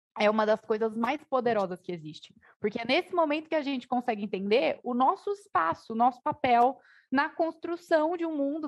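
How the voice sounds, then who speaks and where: A woman talks at a moderate pace with lively intonation and a high pitch. The background is quiet. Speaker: panel moderator, tech nonprofit director; panel moderator. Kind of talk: panel discussion. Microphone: video call.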